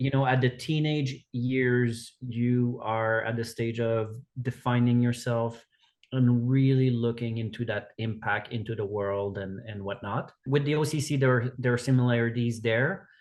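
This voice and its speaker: With a Quebec accent, a man speaks in a fairly even intonation. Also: medium pitch for a man, fairly slow pace. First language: French. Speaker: executive director of an outdoor education organization. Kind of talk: podcast interview.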